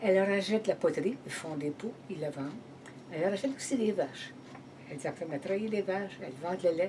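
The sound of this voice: A woman talks at a fast pace with a fairly low pitch. Her tone is slightly mellow, with ordinary pitch variation.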